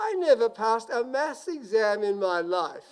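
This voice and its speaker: The voice has an Australian accent. Its intonation is lively. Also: man. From Sydney, Australia. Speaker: marine scientist. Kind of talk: graduation speech.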